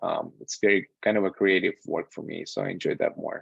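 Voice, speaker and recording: A man with a Russian accent and a fairly low voice at a moderate pace, dry with no echo, over a quiet background. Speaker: software QA tester and instructor. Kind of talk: online lecture with live Q&A. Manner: casual, with frequent fillers. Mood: relaxed, candid. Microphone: video call.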